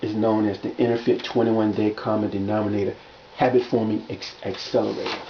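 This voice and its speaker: Against noticeable background noise, a man talks in a fairly low pitch. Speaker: fitness and wellness coach. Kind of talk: video monologue promoting his workbook. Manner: fast; halting, many repetitions and fillers.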